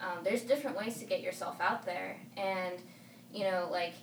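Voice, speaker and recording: A medium-pitched woman at a moderate pace amid noticeable background noise. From California and Arizona, US. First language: Spanish. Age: 20s. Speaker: singer and artist. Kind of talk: casual interview chat.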